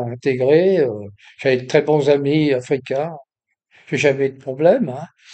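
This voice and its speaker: Dark and mellow in tone, a man's voice sits at a fairly high pitch. He talks at a fairly slow pace with ordinary pitch variation. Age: 80s+. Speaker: YouTuber. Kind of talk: casual monologue. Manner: hesitant, many fillers and repetitions.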